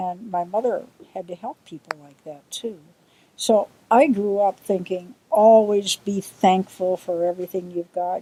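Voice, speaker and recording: Her voice has a dark, mellow tone, and this woman keeps her intonation fairly even. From US Midwest, Milwaukee suburbs, Wisconsin. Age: 70s. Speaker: interviewee recalling childhood. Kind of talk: interview.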